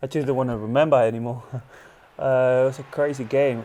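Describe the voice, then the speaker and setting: A medium-pitched man at a fairly quick pace with noticeable background noise. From Argentina. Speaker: professional goalkeeper. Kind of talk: casual interview chat. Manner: halting.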